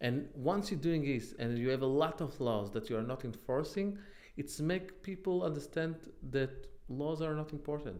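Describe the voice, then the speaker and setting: This man talks at a moderate pace with an Israeli accent and a fairly high pitch. His intonation is lively, and room echo is audible. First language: Hebrew. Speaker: online commentator. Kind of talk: casual monologue. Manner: halting.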